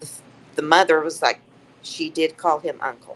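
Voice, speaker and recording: Here a woman with a Southern US accent talks at a moderate pace. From Tennessee. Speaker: psychic medium. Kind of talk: storytelling interview. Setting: live stream. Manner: matter-of-fact.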